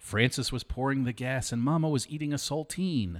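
Recorded very cleanly over a silent background, a man with an American accent speaks in an unremarkable speaking voice at medium pitch and a moderate pace. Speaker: historical society director and podcast host. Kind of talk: casual chat.

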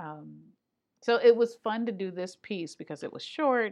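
In an American accent, a woman talks at a moderate pace with ordinary pitch variation. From Michigan. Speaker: opera artistic director. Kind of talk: interview. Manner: animated.

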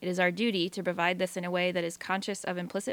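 A woman speaks very fast with a Pacific Northwest accent. The recording is very clean, with a silent background. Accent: Pacific Northwest American. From Eastern Washington. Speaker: radio program director. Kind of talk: radio interview.

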